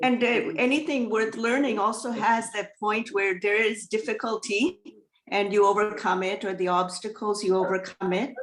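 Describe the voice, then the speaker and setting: A woman with a Tamil accent speaks at a moderate pace. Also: ordinary pitch variation. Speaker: student. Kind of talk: online class discussion.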